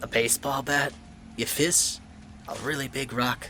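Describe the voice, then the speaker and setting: A man uses a put-on character voice that is hoarse, at a medium pitch, with monotone, flat intonation. He talks at a moderate pace over clear background noise. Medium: read story. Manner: wisecracking, deflecting.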